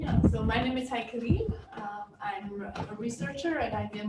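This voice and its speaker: A woman with a German accent amid noticeable background noise and audible room echo. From Germany. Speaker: physicist and research leader. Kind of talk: panel discussion. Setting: stage with audience.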